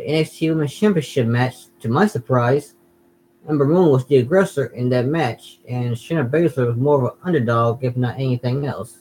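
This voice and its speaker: The delivery moves at a moderate pace with ordinary pitch variation. The voice is somewhat breathy. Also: man, medium pitch for a man. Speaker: gaming and wrestling YouTuber. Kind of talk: casual watch-along commentary. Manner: halting, repeats words.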